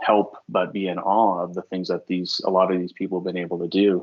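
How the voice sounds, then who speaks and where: A man's very deep, low voice in an American accent, with monotone, flat intonation. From United States. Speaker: design team leader. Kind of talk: interview conversation. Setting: live video call.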